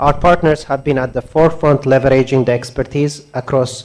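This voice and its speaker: A man's fairly high-pitched voice at a fairly quick pace, with fairly even intonation. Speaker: donor agency representative. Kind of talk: keynote speech. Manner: soft-spoken.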